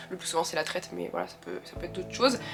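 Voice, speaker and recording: A woman talks at a medium pitch while music plays in the background. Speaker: vlogger and farm worker. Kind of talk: casual vlog talk. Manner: hesitant with many fillers.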